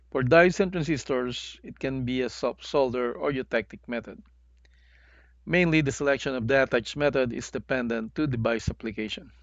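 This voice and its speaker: A man talks at a medium pitch. His pitch variation is ordinary. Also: moderate pace. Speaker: semiconductor packaging instructor. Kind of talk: educational tutorial narration.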